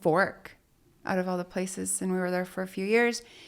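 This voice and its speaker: On a very clean recording with a silent background, a woman with a Spanish accent speaks at a medium pitch. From Mexico, moved to Utah at eleven. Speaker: business owner. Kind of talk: interview conversation.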